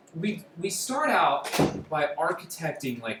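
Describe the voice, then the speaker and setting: A man is speaking in a room with audible echo. Noticeable background noise can be heard. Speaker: coding bootcamp instructor. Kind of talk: lecture. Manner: fast.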